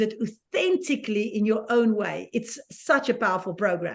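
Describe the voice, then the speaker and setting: A woman's fairly high voice with a South African accent, lively intonation and a moderate pace. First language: Afrikaans. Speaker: certified positivity coach. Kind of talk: live stream conversation. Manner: halting.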